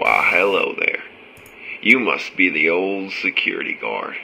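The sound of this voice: A raspy, put-on character voice from a man at a moderate pace, with clear background noise.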